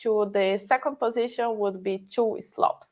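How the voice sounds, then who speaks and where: Over a quiet background, a woman with a non-native accent and fairly high pitch speaks at a fairly slow pace. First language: not English. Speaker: conference speaker. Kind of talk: live coding tutorial.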